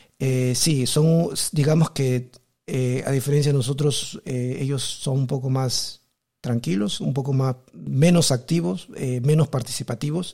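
Somewhat breathy and dark, mellow in tone, a man speaks at a medium pitch and a fairly slow pace with ordinary pitch variation. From Peru. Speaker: podcast host. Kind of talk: casual interview chat.

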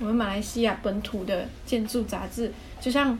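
A woman speaks at a moderate pace with a fairly high pitch and fairly even intonation. Noticeable background noise and audible room echo surround her. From Muar, Johor, Malaysia. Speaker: interior designer, podcast co-host. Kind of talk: casual chat.

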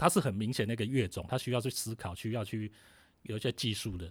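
A man talks at a very fast pace in a medium-pitched voice with ordinary pitch variation. The recording is very clean, with a silent background. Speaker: writer and music historian. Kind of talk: interview about music history.

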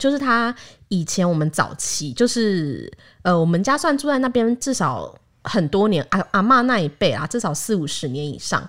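A woman talks at a moderate pace in a medium pitch, her voice making very wide pitch swings. The recording is very clean, with a silent background. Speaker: podcast host. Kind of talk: casual chat.

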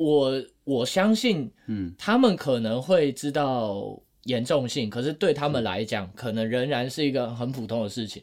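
This man has a medium pitch and lively intonation. He talks at a fairly slow pace with hardly any pauses. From Taiwan. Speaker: podcast co-host. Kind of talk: casual chat. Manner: animated.

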